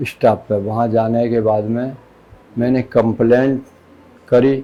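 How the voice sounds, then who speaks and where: This man's tone is dark and mellow. He delivers everything in a monotone, flat way. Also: medium pitch for a man. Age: 60s. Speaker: assault victim. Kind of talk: interview answer.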